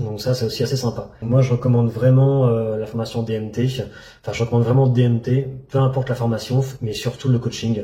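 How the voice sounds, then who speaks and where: A man talks at a fairly quick pace and medium pitch. His intonation is monotone and flat. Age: 30s. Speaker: trading student. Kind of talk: testimony. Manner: halting.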